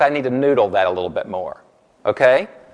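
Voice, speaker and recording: Against a quiet background, a man with a Southern US accent talks in an animated tone. His pace is fairly quick and his intonation lively. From US South. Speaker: corporate trainer. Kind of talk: workshop presentation. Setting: room with live audience. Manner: fast.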